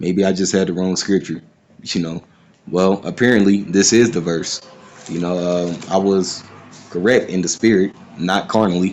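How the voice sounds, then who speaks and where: With long, frequent pauses, a man speaks at a moderate pace in a very deep, low pitch and fairly even intonation. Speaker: bible teacher. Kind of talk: scripture breakdown. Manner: casual, unplanned.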